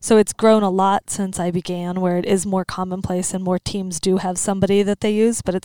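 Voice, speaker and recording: A woman with an American accent speaks at a fairly quick pace, her medium-pitched voice dark and mellow with monotone, flat intonation. The recording is very clean with a silent background and a dry, close sound with no echo. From central Pennsylvania. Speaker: sports psychologist. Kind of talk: interview.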